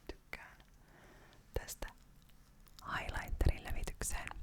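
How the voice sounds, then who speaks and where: Whispering at a fairly slow pace, a woman keeps a calm tone over noticeable background noise. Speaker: ASMR creator. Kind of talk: ASMR whisper video. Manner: whispered; calm, soft-spoken.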